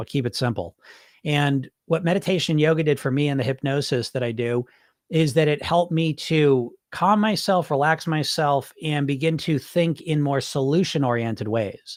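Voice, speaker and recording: In a very clean recording with a silent background, a man speaks at a fairly high pitch with ordinary variation. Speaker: weight loss hypnotist. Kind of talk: casual monologue. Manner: fast; animated.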